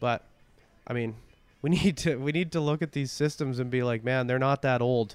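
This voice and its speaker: This is a plain, everyday voice moving at a moderate pace with ordinary pitch variation. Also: man, medium pitch for a man. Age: 30s. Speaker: rancher. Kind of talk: casual interview.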